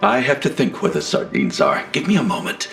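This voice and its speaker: Over clear music in the background, a man puts on a character voice at a fairly quick pace. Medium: short film. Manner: theatrical, sheepish.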